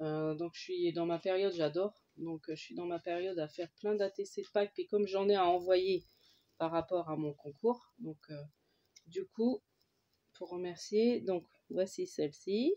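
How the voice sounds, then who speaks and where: A woman speaks at a fairly slow pace with a dark, mellow tone and ordinary pitch variation. The sound is dry and close, with no echo. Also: medium pitch for a woman. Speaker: crafter. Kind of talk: casual talk to camera.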